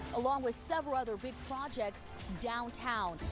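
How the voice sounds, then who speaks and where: A woman with a fairly high voice speaks over music in the background. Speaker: TV news reporter. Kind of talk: TV news field report.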